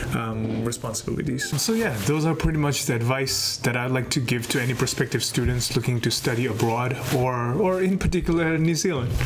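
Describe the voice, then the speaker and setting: A man's medium-pitched voice at a fairly quick pace, with very even loudness, ordinary pitch variation, hardly any pauses, and noticeable background noise. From Nepal. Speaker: former international student. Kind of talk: guest talk with advice.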